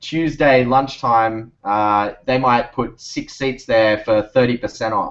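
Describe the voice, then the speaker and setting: A man with an Australian accent speaks at a moderate pace with fairly even intonation against a quiet background. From Australia, Sydney. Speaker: startup founder. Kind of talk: interview on video call. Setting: video call. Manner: rambling, hesitant with fillers.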